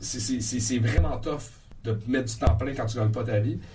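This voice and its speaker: With a Quebec accent and a medium pitch, a man is heard through audible room echo and noticeable background noise. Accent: Québécois French. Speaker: comedian. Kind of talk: casual chat. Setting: comedy club studio.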